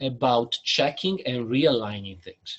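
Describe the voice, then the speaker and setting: Here a man talks with an Italian accent. His pace is very slow. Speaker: business consultant. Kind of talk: webinar presentation.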